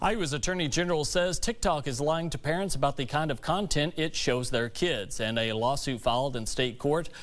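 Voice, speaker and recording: A man's plain, everyday voice, fairly high in pitch, with lively intonation, a fairly quick pace and hardly any pauses. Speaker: news anchor. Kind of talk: TV news read.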